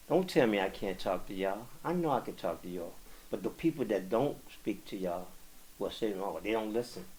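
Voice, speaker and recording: A man with an American accent and an unremarkable speaking voice, fairly low in pitch, at a fairly quick pace with lively intonation. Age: 60s. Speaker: community activist. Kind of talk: podcast interview.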